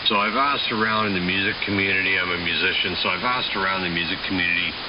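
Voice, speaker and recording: A man's very deep, low voice at a very fast pace with ordinary pitch variation, amid noticeable background noise and audible room echo. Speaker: ham radio operator and musician. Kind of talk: amateur radio chat. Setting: radio transmission.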